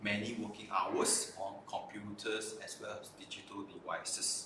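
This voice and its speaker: Room echo is audible throughout. It surrounds a man's speaking voice. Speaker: optometrist hosting a live stream. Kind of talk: live stream presentation. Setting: live stream.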